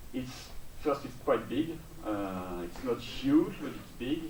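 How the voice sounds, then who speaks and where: Male speech, fairly slow, with noticeable background noise and audible room echo. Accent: French. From France. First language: French. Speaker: software build engineer. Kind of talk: conference talk. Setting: stage with audience. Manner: hesitant, many fillers.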